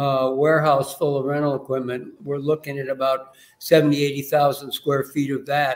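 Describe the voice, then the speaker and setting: Monotone and flat, a man talks with a fairly high pitch. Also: moderate pace. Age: 70s. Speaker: caterer and business owner. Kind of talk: podcast interview.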